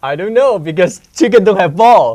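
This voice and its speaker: A man with a Hong Kong accent speaks in a dark, mellow tone. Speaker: student reporter. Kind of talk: casual conversation.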